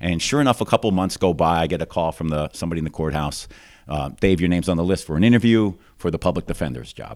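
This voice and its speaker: Very fast and very deep, a man speaks in an American accent with vocal fry. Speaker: district judge. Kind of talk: casual interview. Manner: fluent storyteller.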